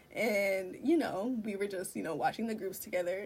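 At a fairly quick pace, a woman speaks in a normal speaking voice at medium pitch, with ordinary pitch variation. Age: 20s. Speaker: fan content creator. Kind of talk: casual chat.

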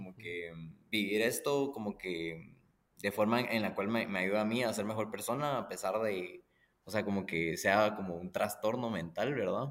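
A man's unremarkable speaking voice, fairly low in pitch, at a moderate pace with ordinary pitch variation. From Guatemala. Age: 20s. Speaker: musician. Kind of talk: casual chat.

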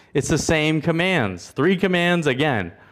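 Captured in a very clean recording with a silent background, a man speaks at a moderate pace. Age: 30s. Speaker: church elder preaching. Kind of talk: expository sermon retelling the Jonah narrative verse by verse. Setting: church service. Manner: rhythmic, repetitive storytelling cadence with dramatic contrasts; engaging, posing rhetorical questions to the congregation.

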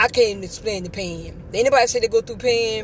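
A woman's voice with noticeable background noise. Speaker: podcaster sharing faith testimony. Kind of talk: testimony. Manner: halting.

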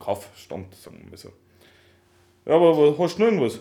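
With a dark, mellow tone, a man speaks using lively intonation. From Upper Bavaria, near Swabian border. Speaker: podcast co-host. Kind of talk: casual chat. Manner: loud. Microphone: laptop recording, levels too quiet.

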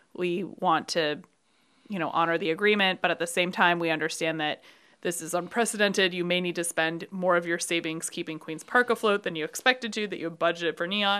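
A woman with an American accent speaks at a fairly low pitch, her tone bright and sharp and her intonation fairly even. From Brooklyn, New York. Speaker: bar owner. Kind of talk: casual chat.

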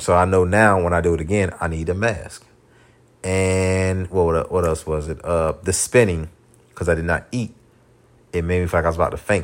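A man with a very deep, low pitch talks at a moderate pace, keeping his intonation fairly even. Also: very clean recording, silent background. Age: 30s. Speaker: podcast host. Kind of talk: casual monologue. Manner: unrehearsed, filler-heavy.

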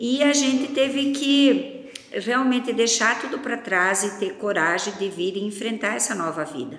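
A woman speaks fairly slowly with hardly any pauses, her fairly high voice full of lively intonation, over noticeable background noise. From northern Paraná, Brazil. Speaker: agribusiness co-founder. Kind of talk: interview.

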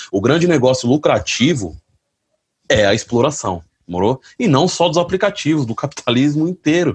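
This man's voice is somewhat breathy and carries lively intonation. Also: dry, close sound with no echo. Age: 30s. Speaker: delivery motorcycle courier and activist. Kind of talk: panel talk. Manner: colloquial, halting with repetitions.

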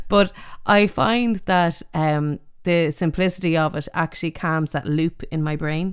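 A woman with an Irish accent, fairly low in pitch, at a fairly slow pace with ordinary pitch variation. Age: 40s. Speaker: podcast host. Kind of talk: casual chat. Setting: remote recording.

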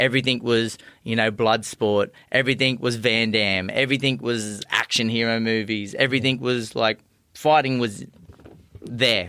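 With an Australian accent, a man speaks at medium pitch and a moderate pace, with fairly even intonation and a bright, sharp tone. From far north Queensland, Australia. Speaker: professional boxer. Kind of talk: interview.

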